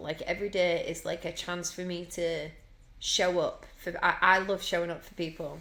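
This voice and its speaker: A woman's fairly low voice in a Yorkshire accent. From Yorkshire, England. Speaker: singer. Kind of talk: casual chat. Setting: podcast interview.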